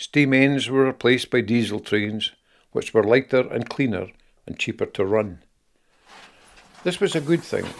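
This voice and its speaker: A Scottish accent at a moderate pace, with ordinary pitch variation and long, frequent pauses. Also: man, medium pitch for a man. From Scotland. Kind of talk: personal memoir narration.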